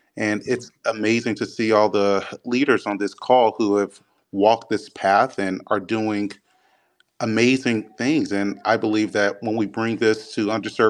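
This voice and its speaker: With an American accent, a man of fairly low pitch speaks at a moderate pace in a monotone, flat voice over a quiet background. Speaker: physician.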